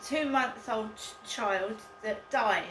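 A woman talks at a very slow pace with noticeable background noise behind her. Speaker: vlogger. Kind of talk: casual vlog chat. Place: home room. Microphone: camera far.

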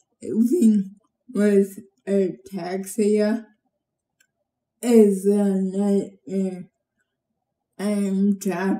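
With audible room echo, a woman talks at a very slow pace in a medium pitch, her tone dark and mellow and her intonation flat and monotone. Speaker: patient with ataxia. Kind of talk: testimony. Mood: earnest, sombre. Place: home room. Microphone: phone near.

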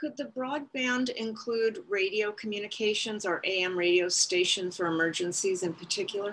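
A woman talks at a moderate pace with hardly any pauses. Light background noise sits behind her. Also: ordinary pitch variation. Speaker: council member. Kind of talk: meeting discussion. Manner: halting. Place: home room. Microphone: video call.

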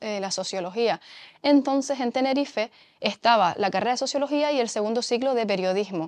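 A woman speaks in an ordinary speaking voice at a fairly high pitch. Her pace is moderate, her pitch variation ordinary, and the background quiet. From Canary Islands, Mogán (Gran Canaria); Canary Islands, Spain. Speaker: sociologist; interviewee. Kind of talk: testimony interview. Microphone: lapel.

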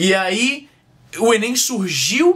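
A man speaks in a bright, sharp tone. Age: 20s. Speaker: vlogger. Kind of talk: casual vlog monologue. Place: home room. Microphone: webcam.

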